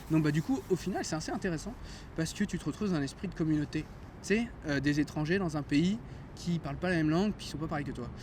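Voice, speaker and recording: His words come very fast, and the man's pitch moves in an ordinary way. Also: fairly high pitch for a man. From France. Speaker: chemist retraining as music therapist. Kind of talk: casual chat. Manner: hesitant, many fillers.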